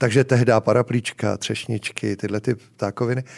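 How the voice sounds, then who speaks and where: A man with a normal speaking voice talks at a medium pitch in a fairly even intonation, with a dry, close sound and no echo. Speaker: bar owner and founder. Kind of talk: casual interview chat.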